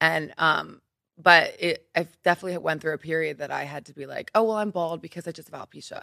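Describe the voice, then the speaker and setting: Very fast and with big swings in loudness, a woman with an American accent talks at a fairly low pitch in a bright, sharp tone, fairly even in intonation, with dry, close sound and no echo. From Philadelphia, US East Coast. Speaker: model and entrepreneur. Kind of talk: casual interview chat. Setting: studio.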